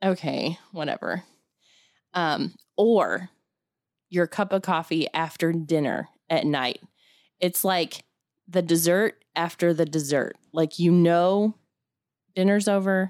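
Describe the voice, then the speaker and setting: Speaking at a very slow pace with long, frequent pauses and ordinary pitch variation, a woman is heard on a very clean recording with a silent background and a dry, close sound with no echo. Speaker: podcast co-host. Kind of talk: casual chat.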